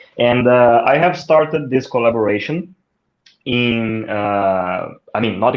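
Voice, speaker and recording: This man speaks with a Brazilian accent. His pitch is medium, with ordinary pitch variation. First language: Portuguese. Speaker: marketing executive. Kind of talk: interview.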